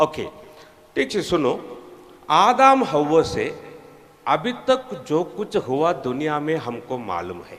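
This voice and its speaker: A man with a Tamil accent speaks at a fairly high pitch, using very wide pitch swings and long, frequent pauses. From Tamil Nadu, India. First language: Tamil (speaking Hindi). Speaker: preacher. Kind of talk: sermon. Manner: non-fluent Hindi with grammar mistakes.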